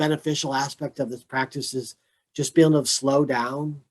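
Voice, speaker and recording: Dry and close with no echo, a man speaks in a fairly high pitch with monotone, flat intonation. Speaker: mindfulness educator. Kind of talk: casual chat.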